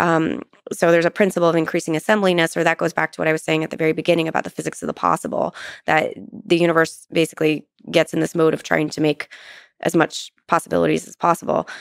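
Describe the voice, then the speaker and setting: A woman at a very fast pace, in a dry sound with no echo and a quiet background. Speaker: guest. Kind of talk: interview answer. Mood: thoughtful, lightly amused. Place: studio. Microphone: studio mic.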